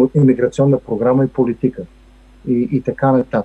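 Fairly even in intonation, a man talks at a medium pitch and a moderate pace. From Bulgaria, Stara Zagora. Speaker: economist and federal employee. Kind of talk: interview. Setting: remote recording. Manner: halting with many fillers.

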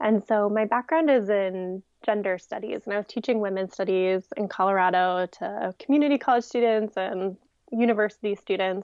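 A woman speaks in a normal speaking voice with an American accent. Her pitch is medium, with ordinary variation, at a moderate pace. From Ohio. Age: 20s. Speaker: magazine editor. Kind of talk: casual interview.

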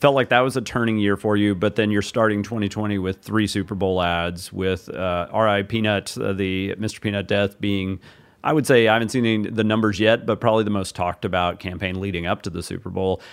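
With an unremarkable speaking voice, a man at fairly low pitch talks at a fairly quick pace with hardly any pauses and fairly even intonation. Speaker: interviewer, ad industry journalist. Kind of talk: interview questions.

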